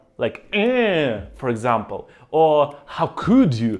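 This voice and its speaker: A man with a Russian accent talks at a very slow pace in a fairly high pitch. His pitch swings very widely, and the recording is very clean with a silent background. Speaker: vlogger. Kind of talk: vlog monologue. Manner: halting.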